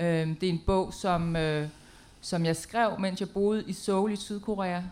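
Speaking at a very slow pace, a woman keeps a medium pitch with ordinary variation. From Denmark. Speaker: poet and playwright. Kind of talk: panel presentation. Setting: stage with audience in a tent. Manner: halting, many fillers.

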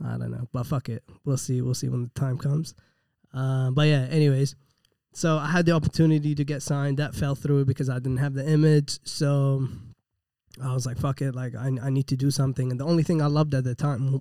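Very fast and monotone, a man with a fairly high pitch and a dark, mellow tone speaks flatly, recorded dry and close with no echo in a very clean recording with a silent background. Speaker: rapper and gym owner. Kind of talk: casual chat.

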